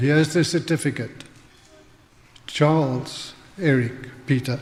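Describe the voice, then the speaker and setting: A man with a southern African accent speaks at a fairly slow pace in a fairly high voice with fairly even intonation, with audible room echo and noticeable background noise. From Northern Rhodesia and South Africa. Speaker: church member giving testimony. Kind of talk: testimony sermon. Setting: church.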